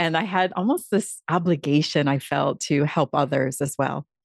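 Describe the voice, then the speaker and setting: With an American accent, a woman speaks in an ordinary speaking voice at a fairly low pitch and a fairly slow pace, her pitch varying in an ordinary way, the sound dry and close with no echo. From Upstate New York. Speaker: public speaking coach. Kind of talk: interview. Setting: video call.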